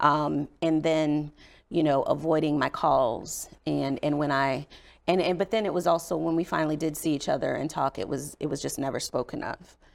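Vocal fry marks a voice at a moderate pace with ordinary pitch variation in a very clean recording with a silent background. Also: woman, very deep, low pitch for a woman. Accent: American. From Indiana, US Midwest. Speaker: state legislator and domestic violence advocate. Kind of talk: interview testimony.

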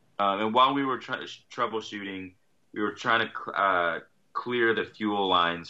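This man has a plain, everyday voice, pitched fairly low, with ordinary pitch variation and a moderate pace. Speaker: guest sailor telling trip story. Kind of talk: casual storytelling.

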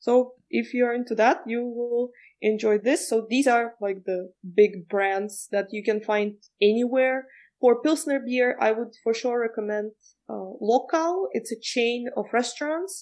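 A woman with a Czech accent speaks at a fairly slow pace. Her pitch is fairly high, with ordinary variation. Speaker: guest, Prague local. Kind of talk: interview.

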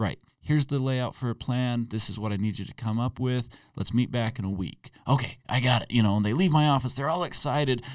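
Over a silent background in a very clean recording, a man talks at a fairly quick pace in an ordinary speaking voice, medium in pitch with ordinary pitch variation. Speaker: podcast co-host. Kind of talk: casual chat.

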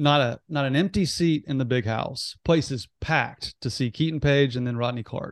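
This man has an ordinary speaking voice at a medium pitch, with an American accent and ordinary pitch variation, moving at a fairly quick pace. The sound is dry and close with no echo over a quiet background. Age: 30s. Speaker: sports podcast host, former TV reporter. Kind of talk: casual chat.

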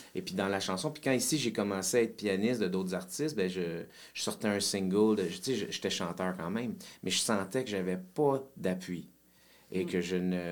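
This man has an unremarkable speaking voice, fairly low in pitch, moving at a moderate pace with ordinary pitch variation. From Quebec, Saint-Jérôme. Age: 40s. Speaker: musician. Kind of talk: casual chat.

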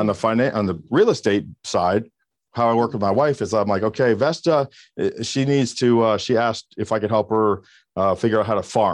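Over a quiet background, a man with an unremarkable speaking voice talks at a fairly quick pace, with a medium pitch and ordinary pitch variation. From US South, Miami area, Florida. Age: 50s. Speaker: keynote speaker and real estate trainer. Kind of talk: interview.

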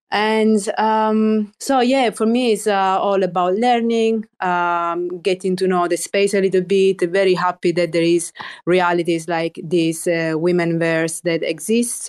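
A woman speaks at a fairly slow pace with medium pitch, ordinary pitch variation, very even loudness and hardly any pauses, on a very clean recording with a silent background. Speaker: artist. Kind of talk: casual chat. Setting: studio. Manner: animated.

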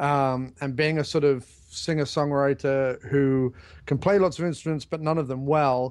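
This man has a plain, everyday voice, fairly high in pitch, speaking at a moderate pace with fairly even intonation. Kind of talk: casual chat.

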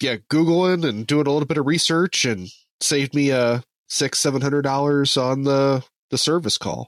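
A man with an American accent speaks in an unremarkable speaking voice at a moderate pace, with a fairly high pitch, ordinary pitch variation and very even loudness, in a dry, close sound with no echo. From southern Indiana. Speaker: podcast host. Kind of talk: interview. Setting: remote call.

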